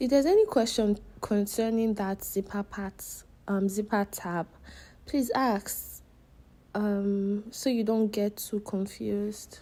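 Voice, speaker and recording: On a very clean recording with a silent background, a woman speaks very slowly in a dark, mellow tone with fairly even intonation. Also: medium pitch for a woman. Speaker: sewing instructor. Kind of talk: tutorial. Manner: hesitant, many fillers.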